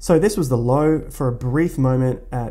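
This is a man with a medium pitch. His intonation stays fairly even.

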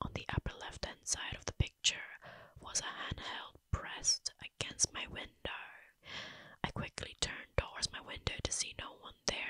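A woman whispers at a moderate pace with big swings in loudness and long, frequent pauses. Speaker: ASMR creator playing babysitter. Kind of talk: horror story narration. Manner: whispered. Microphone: studio mic.

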